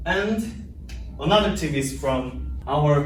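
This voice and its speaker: Speaking in a Korean accent, a man has a fairly high pitch. Noticeable background noise and audible room echo fill the recording. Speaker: English language student. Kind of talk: class presentation. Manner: halting.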